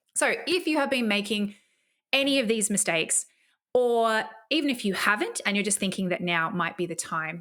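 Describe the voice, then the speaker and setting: An enthusiastic woman with an Australian accent at a moderate pace, her fairly high pitch swinging very widely. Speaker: podcast host and online marketing coach. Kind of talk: podcast monologue with sales pitch. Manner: enthusiastic, casual.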